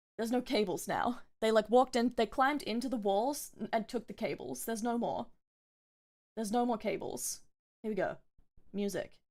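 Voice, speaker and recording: A woman speaks at a fairly high pitch with vocal fry and ordinary pitch variation, at a fairly quick pace broken by long, frequent pauses. The recording is very clean, with a silent background. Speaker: VTuber streamer. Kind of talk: casual gameplay livestream chat. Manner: relaxed, chill.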